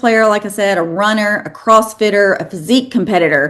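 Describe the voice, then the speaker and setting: A woman with a slight Southern US accent speaks at a fairly high pitch. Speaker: fitness educator, lecturer. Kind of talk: lecture.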